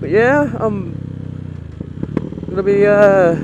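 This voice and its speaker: The recording carries loud background noise and a dry sound with no echo. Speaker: motorbike rider vlogger. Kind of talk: casual vlog chat. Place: motorbike. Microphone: helmet.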